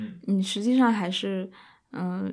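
A woman's unremarkable speaking voice at medium pitch, with fairly even intonation and a moderate pace. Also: very clean recording, silent background. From China. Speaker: podcast co-host. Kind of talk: casual chat.

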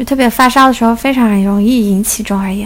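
Her intonation fairly even, a woman speaks with a fairly high pitch. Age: 20s. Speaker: podcast host. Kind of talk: casual solo chat.

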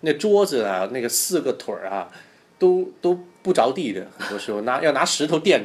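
A man speaks at a moderate pace in a fairly high voice. His pitch swings very widely, and his loudness swings a lot. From Hong Kong. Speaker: guest. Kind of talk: casual chat.

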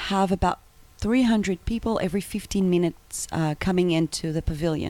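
With an Israeli accent, a woman speaks at a moderate pace and medium pitch. Her dark, mellow tone carries ordinary pitch variation. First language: Hebrew. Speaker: travel agency founder. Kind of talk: interview.

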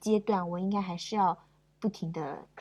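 A woman talks at a moderate pace, her medium-pitched voice somewhat breathy and showing ordinary pitch variation. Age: 20s. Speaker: podcast guest. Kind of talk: casual chat.

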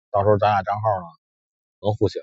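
Somewhat breathy and fairly low in pitch, a man talks at a very fast pace. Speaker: forex trader vlogger. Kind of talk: casual monologue. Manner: halting, many fillers.

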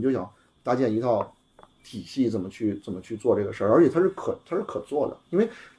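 Very fast speech comes from a man. His voice is somewhat breathy. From Beijing. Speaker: entrepreneur, car repair shop and cafe founder. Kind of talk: casual chat. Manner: fast, talkative.

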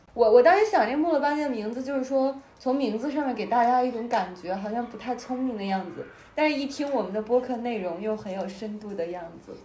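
Amid noticeable background noise and audible room echo, a woman speaks at a high pitch and fairly quick pace, her intonation lively and her loudness swinging widely. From Beijing. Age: 20s. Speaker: podcast co-host. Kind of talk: casual chat.

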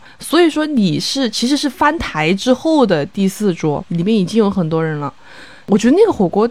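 Her pitch swings very widely around a medium level as this woman speaks at a moderate pace. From Chongqing, China. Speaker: podcast co-host, lawyer. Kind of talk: casual chat.

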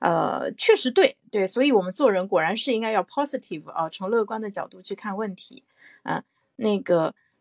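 Over a silent background in a very clean, dry, close recording with no echo, a woman with a medium pitch and vocal fry talks cheerfully at a fairly quick pace. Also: ordinary pitch variation, big swings in loudness. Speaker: parent and podcast panelist. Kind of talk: casual discussion. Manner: cheerful, laughs often.

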